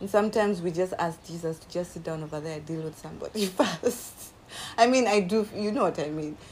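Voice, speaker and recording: A woman with a fairly low pitch speaks at a fairly quick pace in an animated tone. Her pitch variation is ordinary, while her loudness swings widely. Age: 40s. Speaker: podcast co-host. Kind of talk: casual chat.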